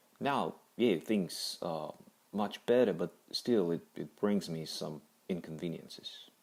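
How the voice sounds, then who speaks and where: A man with a non-native accent speaks at a very slow pace. His pitch is very deep and low, with ordinary variation. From Kazakhstan. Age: 30s. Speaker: cancer survivor. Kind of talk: personal testimony. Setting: audio-only recording. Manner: halting.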